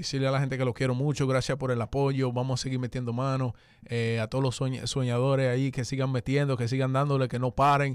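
A man speaks at a fairly quick pace in a monotone, flat intonation with very even loudness. The sound is dry with no echo, over a quiet background. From Dominican-born, raised in the US. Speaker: urban music artist; guest. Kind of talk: radio interview. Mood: warm, grateful. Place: studio. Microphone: studio mic.

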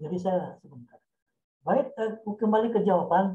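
At a fairly slow pace, a man with a high pitch and a dark, mellow tone speaks with ordinary pitch variation. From West Sumatra. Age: 60s. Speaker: senior journalist and author; senior journalist. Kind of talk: guest lecture in online writing class. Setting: video call. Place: home room. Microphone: video call.

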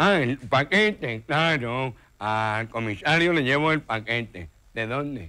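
A man's put-on, nasal character voice at a medium pitch and a fairly slow pace, on a very clean recording with a silent background.

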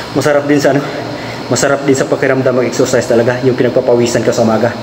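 A man speaks in a monotone, flat way. Noticeable background noise can be heard. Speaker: driver vlogger. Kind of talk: casual vlog chat. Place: garage. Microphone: phone near.

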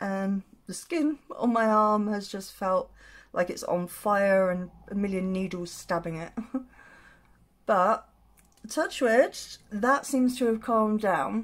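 A woman speaks at a very slow pace with long, frequent pauses. Her pitch varies in an ordinary way. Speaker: makeup vlogger. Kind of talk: casual vlog chat. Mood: candid, slightly rueful. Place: home room. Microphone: phone near.

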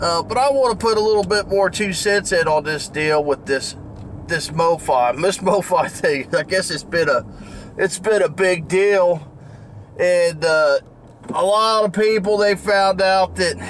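Over light background noise, a man speaks at a fairly slow pace with very even loudness and ordinary pitch variation. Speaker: record collector vlogger. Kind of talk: casual vlog chat. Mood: mildly annoyed, opinionated. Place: car. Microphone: phone near.

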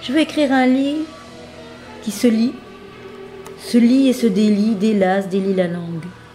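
With music playing behind her, a woman talks at a fairly slow pace with lively intonation. Her pauses are long and frequent. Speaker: author reading her own manuscript. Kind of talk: reading aloud of own autobiographical book.

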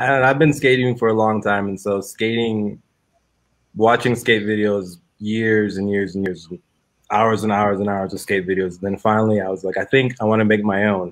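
Fairly low in pitch, a man with an unremarkable speaking voice talks at a moderate pace with fairly even intonation. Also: quiet background. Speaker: discussion guest, filmmaker. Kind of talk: panel discussion. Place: home room. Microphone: video call.

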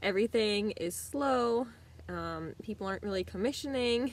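A woman speaks at a fairly slow pace. The sound is dry, with no echo. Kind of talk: casual vlog chat. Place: home room. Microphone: phone near.

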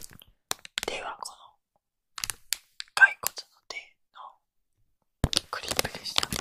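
A man whispers at a very slow pace with long, frequent pauses. His loudness swings widely. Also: dry, close sound with no echo. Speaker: ASMR creator. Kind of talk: ASMR trigger video with casual chatter. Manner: whispered, soft-spoken.

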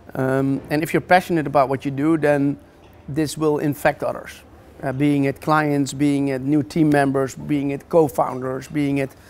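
A man's fairly high voice in monotone, flat intonation at a moderate pace. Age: 40s. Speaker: entrepreneur; guest. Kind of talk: interview. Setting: office. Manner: halting. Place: hall. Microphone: lapel.

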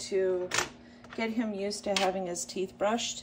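A woman speaks at a moderate pace. Noticeable background noise sits behind her. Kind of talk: tutorial. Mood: calm, soothing. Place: home room.

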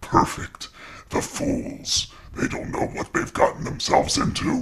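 Over light background noise, a man speaks at a moderate pace in a raspy, extremely high-pitched voice. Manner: menacing, commanding.

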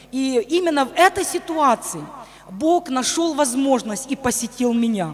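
A woman, with light background noise. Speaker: pastor's wife and missionary; pastor's wife. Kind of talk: testimony. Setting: church. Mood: earnest personal testimony. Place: church. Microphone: handheld.

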